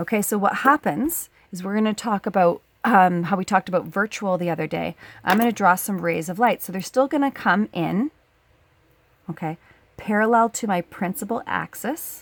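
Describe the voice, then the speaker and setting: On a very clean recording with a silent background and a dry, close sound with no echo, a woman in a plain, everyday voice speaks at a moderate pace and medium pitch with lively intonation. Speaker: high school science teacher. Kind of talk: tutorial. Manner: casual, conversational.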